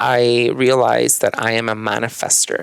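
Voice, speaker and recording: This is a man speaking. He has a Mexican accent. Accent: Mexican Spanish accent, CH and SH merged. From Chihuahua, Mexico. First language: Spanish. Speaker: yoga and meditation teacher. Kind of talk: podcast interview.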